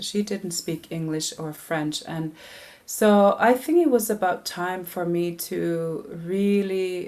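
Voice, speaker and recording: Pitched fairly low, a woman speaks in a Canadian Arctic accent with ordinary pitch variation. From Nunavik, northern Quebec, Canada. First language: Inuktitut. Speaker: singer-songwriter. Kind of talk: interview. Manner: halting, many fillers and restarts.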